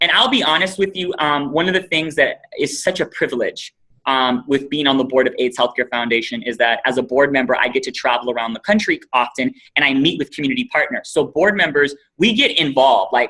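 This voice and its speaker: A man's fairly high, bright and sharp voice with an American accent, at a fairly quick pace. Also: ordinary pitch variation. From Los Angeles, Compton. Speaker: nonprofit executive director, guest speaker. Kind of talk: talk to students on a video call. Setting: video call. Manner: fast; animated.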